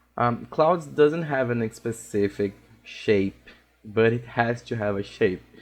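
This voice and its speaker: A man speaks at a fairly slow pace with a Portuguese accent. His pitch sits in the medium range, with ordinary variation. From Brazil. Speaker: digital art instructor. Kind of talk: tutorial. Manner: halting, with frequent fillers.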